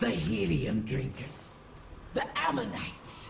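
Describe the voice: Putting on a character voice, a woman speaks slowly in a fairly low pitch with big pitch swings and vocal fry, over faint background noise.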